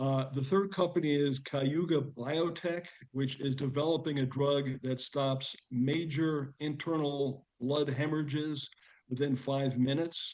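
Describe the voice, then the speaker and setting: In a plain, everyday voice, a man with a fairly high pitch speaks at a fairly slow pace, his intonation fairly even and his loudness very even. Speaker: angel investor presenting companies. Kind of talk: video call meeting presentation.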